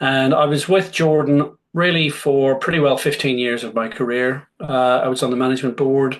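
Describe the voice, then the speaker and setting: Speaking in a Northern Irish accent, a man keeps a moderate pace with hardly any pauses, his medium pitch set in fairly even intonation. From Northern Ireland, Belfast. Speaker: motorsport business executive. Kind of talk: Q&A talk. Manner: hesitant with many fillers.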